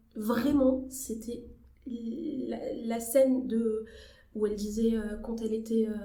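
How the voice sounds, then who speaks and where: A woman speaks at a very slow pace in a fairly high pitch, with monotone, flat intonation and long, frequent pauses. Noticeable background noise and audible room echo fill the recording. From Algeria, Algiers. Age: 20s. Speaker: journalist and actress. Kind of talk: podcast interview. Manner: hesitant, many fillers.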